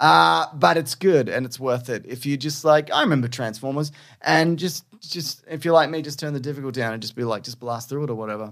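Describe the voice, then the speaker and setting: Very clean with a silent background, this recording features a man with a plain, everyday voice and a medium pitch. He talks at a fairly quick pace with hardly any pauses, lively intonation and big swings in loudness. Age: 40s. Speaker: podcast co-host. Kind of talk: casual chat.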